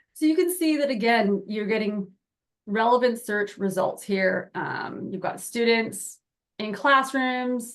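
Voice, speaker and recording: Her pitch is fairly high, with ordinary variation. The woman speaks at a fairly slow pace. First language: not Spanish. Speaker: software product presenter. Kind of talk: webinar product demo.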